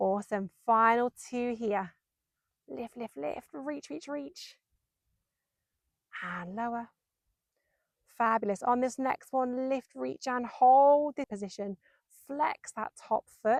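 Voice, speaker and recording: A woman talks very slowly in a high voice, leaving long, frequent pauses, with a dry, close sound and no echo. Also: ordinary pitch variation. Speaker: Pilates instructor. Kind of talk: workout instruction. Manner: slow, controlled pace; encouraging, rhythmic counting.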